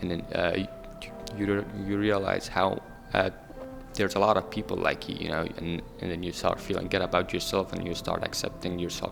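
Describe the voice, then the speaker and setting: A man with a very deep, low voice speaks at a moderate pace and fairly even intonation over music in the background. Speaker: panel participant. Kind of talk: panel discussion. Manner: halting.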